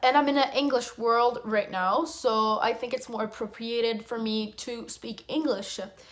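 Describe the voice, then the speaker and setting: A woman talks with hardly any pauses in a fairly high pitch and fairly even intonation. Noticeable background noise is present. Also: moderate pace. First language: French. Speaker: flight attendant. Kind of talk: casual Q&A vlog.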